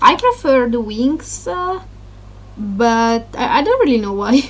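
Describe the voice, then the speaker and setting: Speaking fairly slowly with a non-native accent, a woman has a high-pitched voice. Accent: non-native English, noticeable. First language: Italian. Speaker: gaming YouTuber. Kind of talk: casual vlog talk. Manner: halting, many fillers.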